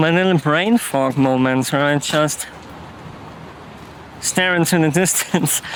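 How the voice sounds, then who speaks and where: A man at a fairly high pitch with a non-native accent, fairly slow pace, long, frequent pauses, ordinary pitch variation, very even loudness, and noticeable background noise. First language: not English. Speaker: vlogger. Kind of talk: casual vlog monologue. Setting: outdoors walking with dog. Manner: hesitant, with fillers.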